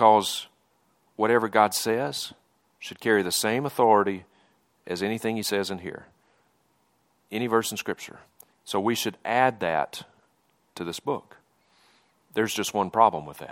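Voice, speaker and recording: On a very clean recording with a silent background, a man with a Southern US accent talks with ordinary pitch variation and long, frequent pauses. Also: fairly low pitch for a man, moderate pace. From Mississippi, US South. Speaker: preacher. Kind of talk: sermon. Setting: church.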